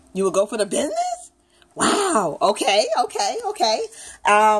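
A woman speaks at a fairly slow pace. Her pitch swings very widely. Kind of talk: casual questioning of a child. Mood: playful, encouraging. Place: home room.

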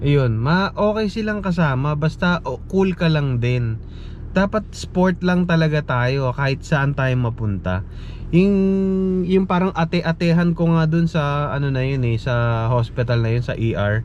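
Over noticeable background noise, a man speaks fairly slowly at a fairly high pitch with lively intonation. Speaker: nurse vlogger. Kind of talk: casual vlog monologue.

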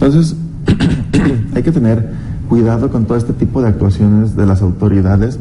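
Against noticeable background noise, a man with a fairly low pitch speaks with long, frequent pauses. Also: ordinary pitch variation, moderate pace. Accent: Mexican. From Mexico. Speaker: taxpayer advocacy official. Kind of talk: TV interview. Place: studio. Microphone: lapel.

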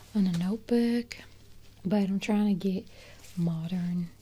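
Soft-spoken, a woman talks at a moderate pace. Her intonation is fairly even. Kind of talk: soft-spoken role-play talk to the viewer. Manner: soft, close ASMR speaking voice. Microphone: studio mic.

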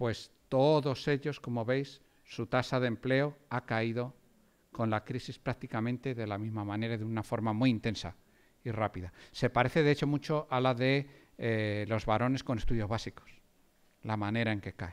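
This man speaks at a moderate pace. His intonation is fairly even. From Spain. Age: 40s. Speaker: economics professor. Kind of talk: lecture. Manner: halting, many fillers. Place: hall. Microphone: podium.

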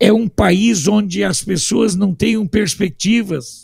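Against a quiet background, a man speaks very slowly in a high voice with lively intonation. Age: 60s. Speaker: political commentator; political commentator panelist. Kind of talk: panel discussion. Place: home room. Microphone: studio mic.

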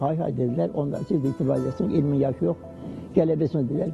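A man speaks with a fairly high pitch and lively intonation. Music plays in the background. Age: 80s+. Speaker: retired factory worker and avid reader. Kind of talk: interview answer.

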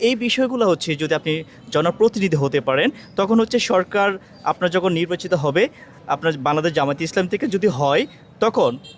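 Over noticeable background noise, a man with a high pitch and lively intonation holds his loudness very even, the sound dry and close with no echo. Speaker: local news reporter. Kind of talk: interview questions.

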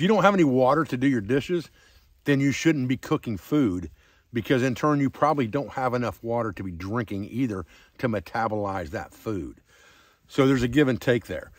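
A man talking at a fairly quick pace over a quiet background. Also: dry sound with no echo. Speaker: outdoor skills instructor. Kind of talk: tutorial. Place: forest. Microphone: phone near.

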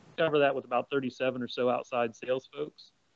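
The pace is fairly quick for this man. He keeps his intonation monotone and flat. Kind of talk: webinar presentation.

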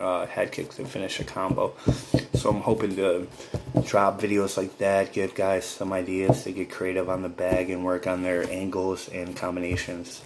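A man with an American accent, very deep and low in pitch, at a moderate pace in a relaxed tone, over noticeable background noise. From upstate Western New York. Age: 30s. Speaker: gaming YouTuber. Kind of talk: casual vlog to viewers. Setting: at home, speaking softly with family asleep nearby. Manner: low-energy, relaxed; many filler words. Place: home room. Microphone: phone near.

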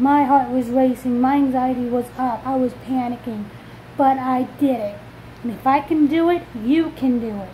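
Over light background noise, a woman with a high voice speaks at a moderate pace with fairly even intonation. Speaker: vlogger. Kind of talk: personal vlog. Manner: loud. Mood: earnest, encouraging after anxiety. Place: home room. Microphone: phone near.

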